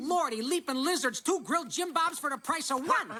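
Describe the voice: In a cartoonish character voice, a man speaks at an extremely high pitch with a bright, sharp tone and lively intonation. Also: moderate pace.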